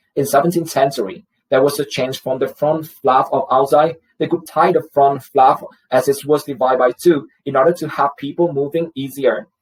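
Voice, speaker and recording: In a Vietnamese accent, a man speaks at a moderate pace in a fairly high, somewhat breathy voice with fairly even intonation. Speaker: student. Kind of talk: class presentation. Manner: formal.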